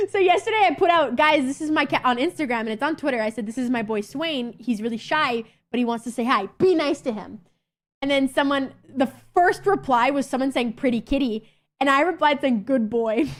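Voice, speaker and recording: High in pitch, a woman talks at a fairly quick pace in an animated tone with lively intonation. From Canada. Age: 20s. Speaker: streamer. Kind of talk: casual chat. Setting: live stream.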